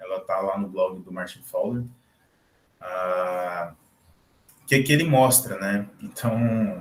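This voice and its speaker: Speaking at a fairly slow pace, a man uses lively intonation in a somewhat breathy voice. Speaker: guest lecturer, PhD student. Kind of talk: lecture. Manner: halting.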